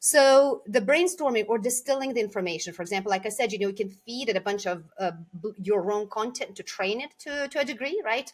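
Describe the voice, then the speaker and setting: A woman in a Lithuanian accent, fairly high-pitched, with lively intonation, a fairly quick pace and hardly any pauses. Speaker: communication coach. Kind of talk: podcast interview. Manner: hesitant, many fillers.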